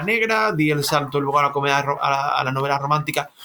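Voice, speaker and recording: Noticeable background noise sits behind a man speaking at a fairly quick pace and a fairly high pitch. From Cádiz, Andalusia, Spain. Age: 40s. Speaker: author. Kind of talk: interview. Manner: halting, with many repetitions.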